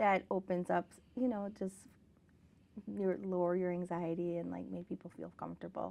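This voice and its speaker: Speaking with a General American accent, a woman keeps a moderate pace broken by long, frequent pauses. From South Korea, came to the US at eight. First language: Korean. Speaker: author and educator. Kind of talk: interview. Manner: casual with many fillers.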